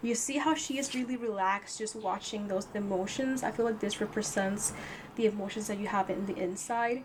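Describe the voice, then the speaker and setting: A woman speaks at a fairly quick pace with a non-native accent, her pitch fairly high and its variation ordinary. Noticeable background noise runs under her voice. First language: not English. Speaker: tarot reader. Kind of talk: tarot reading. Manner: halting, repeats words; casual.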